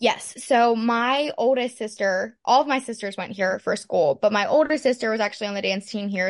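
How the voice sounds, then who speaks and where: Speaking at a moderate pace with an American accent, a woman has an unremarkable speaking voice, fairly high in pitch and lively in intonation, over a quiet background. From Pittsburgh, Pennsylvania, US. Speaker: college dancer. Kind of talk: casual interview.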